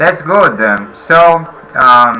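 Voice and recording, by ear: A man at a very slow pace, medium in pitch, with a bright, sharp tone, lively intonation and audible room echo.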